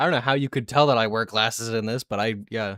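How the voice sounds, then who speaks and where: The speech is mumbled at a fairly quick pace with ordinary pitch variation, dry and close with no echo, on a very clean recording against a silent background. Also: man. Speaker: video game streamer. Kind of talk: live stream commentary. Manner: mumbling.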